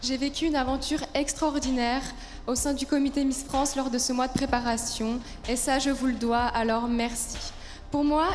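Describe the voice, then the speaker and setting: A woman's high-pitched voice at a moderate pace, fairly even in intonation, with audible room echo and music in the background. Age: 20s. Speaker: beauty pageant contestant. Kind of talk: prepared speech. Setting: stage with audience.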